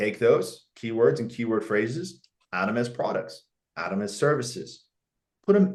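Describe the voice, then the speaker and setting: An animated man's voice with very wide pitch swings. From Canada. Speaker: marketing business founder, guest speaker. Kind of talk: webinar presentation. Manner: fast.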